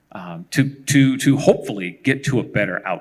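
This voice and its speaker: Showing vocal fry, a man with a fairly high pitch speaks with an American accent. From San Jose, California. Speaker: tech engineer, keynote speaker. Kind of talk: panel Q&A.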